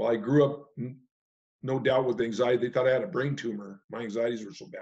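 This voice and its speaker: A man speaks at medium pitch. He has an American accent. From California. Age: 60s. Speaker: retired hunting and fishing guide. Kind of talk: testimony. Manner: halting.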